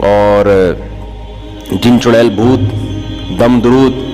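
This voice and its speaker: A man's voice sits at a medium pitch. Behind him, music plays. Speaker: Islamic cleric. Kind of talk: religious sermon. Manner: animated, scolding.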